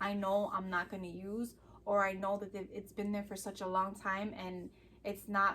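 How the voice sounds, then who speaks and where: Her tone is bright and sharp. This woman's pitch sits in the medium range. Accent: Chicago. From Chicago, US Midwest. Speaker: vlogger. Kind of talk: casual chat.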